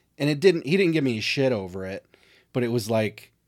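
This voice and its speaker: An ordinary speaking voice from a man, fairly quick in pace with lively intonation, on a very clean recording with a silent background. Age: 40s. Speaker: podcast co-host. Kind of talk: casual chat.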